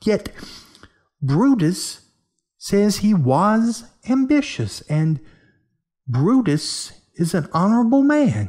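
A man's put-on character voice, high-pitched and slightly mellow, with big pitch swings, a slow pace and long, frequent pauses

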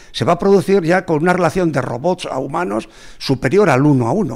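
A man speaks at a fairly quick pace in a high voice with lively intonation. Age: old. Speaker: technology expert and former education official. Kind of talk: podcast interview.

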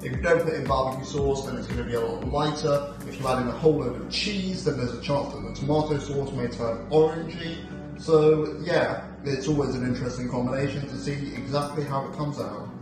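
Over clear background music and audible room echo, a man talks with fairly even intonation. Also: fairly quick pace. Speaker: home cook vlogger. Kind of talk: cooking tutorial. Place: kitchen. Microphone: phone near.

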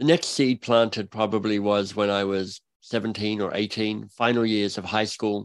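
Fairly low male voice, fairly slow and fairly even, with hardly any pauses against a quiet background. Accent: Australian. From Australia (Canberra). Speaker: author and coach. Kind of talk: interview conversation.

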